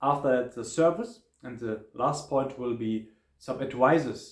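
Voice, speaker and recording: A man with a German accent talks at a medium pitch with ordinary pitch variation. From Germany. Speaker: travel vlogger. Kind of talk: hotel review monologue. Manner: halting, with many fillers.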